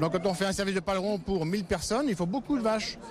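A man with a high pitch amid noticeable background noise. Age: 60s. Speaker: cattle farmer. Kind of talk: interview. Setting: agricultural trade fair.

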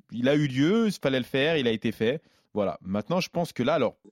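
A man with an unremarkable speaking voice talks at a fairly quick pace, on a very clean recording with a silent background and a dry, close sound with no echo. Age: 30s. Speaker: MMA fighter. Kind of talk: casual chat.

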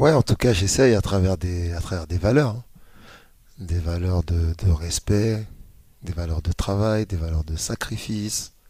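A man speaks at a fairly slow pace with a very deep, low pitch. His tone is dark and mellow, and somewhat breathy. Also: very clean recording, silent background. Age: 40s. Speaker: youth football coach. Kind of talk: interview. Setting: club training ground.

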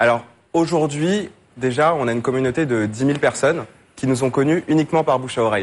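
At a very fast pace, a man with a medium-pitched voice talks with ordinary pitch variation. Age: 20s. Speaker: fintech startup founder. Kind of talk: business pitch. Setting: TV studio with audience.

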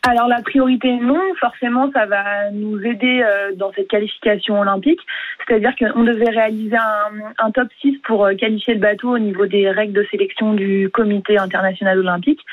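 A woman's fairly high voice at a moderate pace, an ordinary speaking voice with ordinary pitch variation. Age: young. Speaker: kayaker. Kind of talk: radio interview.

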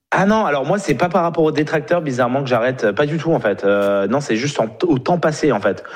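Over noticeable background noise, a man talks fairly quickly in a fairly high pitch with lively intonation. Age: 30s. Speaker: professional poker player and vlogger. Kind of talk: casual chat.

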